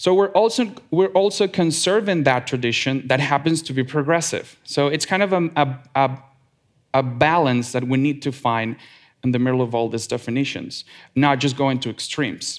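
A man with a Spanish accent talks at a moderate pace, his fairly high pitch showing ordinary pitch variation. The recording is very clean, with a silent background. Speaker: lay church speaker. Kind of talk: sermon. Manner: reading from a script, some hesitations and repeats.

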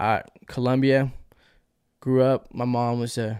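In a very clean recording with a silent background, a man with an American accent talks at a medium pitch. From Colombia, then Texas from age nine. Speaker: missions minister. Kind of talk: casual chat and faith testimony.

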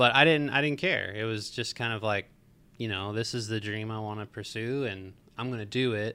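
Speaking at a moderate pace, a man uses a bright, sharp tone at medium pitch with ordinary pitch variation, on a very clean recording with a silent background. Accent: American. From Marietta, Georgia (US South). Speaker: apparel brand founder. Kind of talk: interview.

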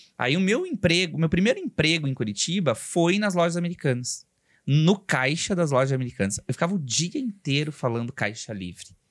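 Over a silent background on a very clean recording, a man with a fairly high voice speaks at a moderate pace, his pitch swinging very widely. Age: 40s. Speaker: entrepreneur and aspiring comedian. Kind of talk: casual chat. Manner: animated.

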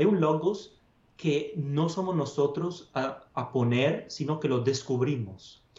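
The man's voice sits at a fairly high pitch and sounds somewhat breathy. He speaks at a very slow pace with ordinary pitch variation. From northern Italy, Padua. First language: Italian (speaking Spanish). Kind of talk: interview.

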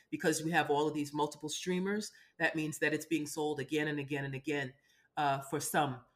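Her pitch very deep and low, a woman talks at a fairly quick pace. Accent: Brooklyn. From US Northeast, Brooklyn, New York. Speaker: casting director and producer. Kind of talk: interview. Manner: animated.

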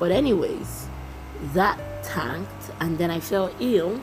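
There is music in the background as a woman talks at a fairly low pitch. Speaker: podcast host. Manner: candid, casual, emotional.

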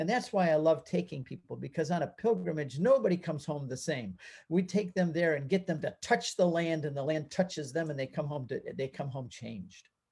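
A man with an unremarkable speaking voice, fairly high pitch, lively intonation and a fairly quick pace. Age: 60s. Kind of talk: interview.

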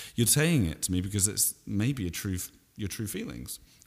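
A man's fairly low pitch in a southern English accent, full of very wide pitch swings. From England, Salisbury. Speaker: podcast guest. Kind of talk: casual chat.

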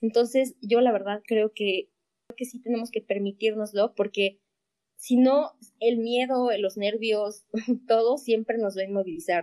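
The tone is dark and mellow, with fairly even intonation and a fairly slow pace. The sound is dry and close, with no echo. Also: woman, fairly high pitch for a woman. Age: young (19). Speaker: podcast co-host, student. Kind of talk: casual chat.

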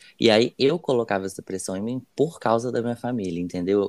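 A man with an unremarkable speaking voice talks at a fairly quick pace with ordinary pitch variation. The sound is dry and close with no echo. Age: 20s. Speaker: student and podcast co-creator. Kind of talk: casual chat. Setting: remote call from home.

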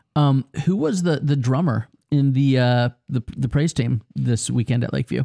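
A man with an American accent speaks at medium pitch and a moderate pace, with ordinary pitch variation and very even loudness. His tone is dark and mellow, the sound dry and close with no echo. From Ohio. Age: 40s. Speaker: pastor. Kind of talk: casual chat.

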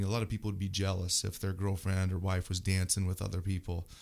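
On a very clean recording with a silent background, a man speaks in a fairly low voice. He talks very fast with hardly any pauses.

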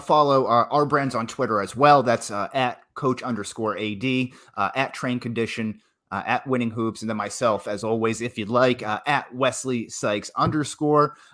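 A man speaks with a Boston accent in a bright, sharp tone. The recording is very clean, with a silent background. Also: medium pitch for a man, ordinary pitch variation, moderate pace. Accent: thick Boston. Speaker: magazine editor and podcast host. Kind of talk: interview.

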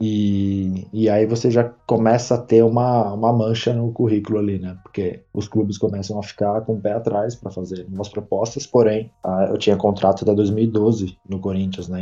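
In a dark, mellow tone, a man talks at a moderate pace with a fairly low pitch and monotone, flat intonation. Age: 30s. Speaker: former footballer. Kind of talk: interview. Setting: studio.

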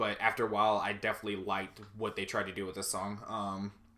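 A man speaks at a fairly low pitch. His tone is bright and sharp. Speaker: solo podcast host reviewing K-pop albums. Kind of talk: casual solo review commentary. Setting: home recording. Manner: frequent filler 'um', hesitant; flat, low-energy tone.

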